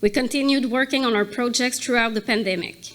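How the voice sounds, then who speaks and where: A woman's high voice with a non-native accent, moderate pace and ordinary pitch variation. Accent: non-native English accent, audible. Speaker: corporate accessibility advisor. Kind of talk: prepared speech at a gala.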